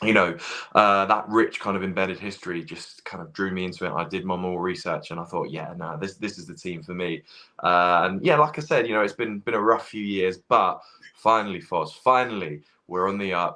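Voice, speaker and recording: A man with a British accent speaks at a fairly quick pace in a very deep, low voice, his bright, sharp tone swinging widely in loudness. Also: ordinary pitch variation. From England. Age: 20s. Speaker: football fan. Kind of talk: casual chat. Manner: halting.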